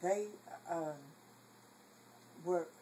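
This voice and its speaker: Here a woman's voice has a dark, mellow tone and is somewhat breathy. Her pitch variation is ordinary. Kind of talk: family storytelling, casual talk.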